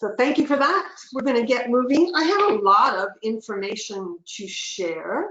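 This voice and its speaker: With a Canadian accent, a woman speaks with lively intonation. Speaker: community development trainer and speaker. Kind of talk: webinar presentation. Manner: fast.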